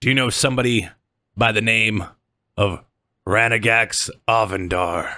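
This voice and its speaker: In a very clean recording with a silent background, a man puts on a raspy character voice at medium pitch and a moderate pace, with fairly even intonation and long, frequent pauses. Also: very even loudness. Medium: actual play. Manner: smug, authoritative.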